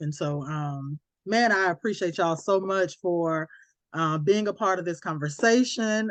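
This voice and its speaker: In an American accent, a woman speaks at a fairly slow pace and medium pitch with ordinary variation, over a quiet background. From US South, Alabama. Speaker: podcast host. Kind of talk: casual chat. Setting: podcast recording.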